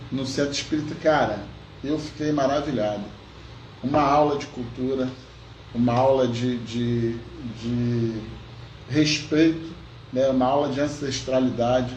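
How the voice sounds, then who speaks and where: With long, frequent pauses, a man talks at a fairly slow pace, a medium pitch and fairly even intonation, amid audible room echo and noticeable background noise. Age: 60s. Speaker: podcast co-host. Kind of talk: casual chat.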